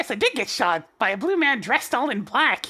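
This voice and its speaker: A woman performs a put-on character voice at a high pitch with very wide pitch swings. The recording is very clean, with a silent background. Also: fairly quick pace. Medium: game stream. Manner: earnest, energetic.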